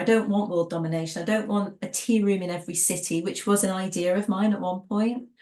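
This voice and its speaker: A woman with an American accent talks at a fairly quick pace with hardly any pauses, her medium-pitched voice dark and mellow with ordinary pitch variation. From England. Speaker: tea business trainer and former tea room owner. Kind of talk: interview. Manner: conversational, with frequent fillers and restarts.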